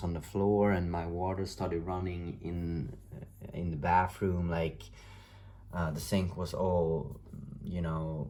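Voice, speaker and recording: Room echo is audible. A man speaks at a very deep, low pitch. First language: not English. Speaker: tarot reader. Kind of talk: tarot reading monologue. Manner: halting, many fillers.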